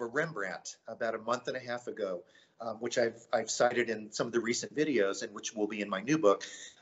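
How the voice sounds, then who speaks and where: In an American accent, a normal speaking voice moves at a fairly quick pace with big swings in loudness. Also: man. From US South, Myrtle Beach, South Carolina. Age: 50s. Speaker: painter. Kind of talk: interview.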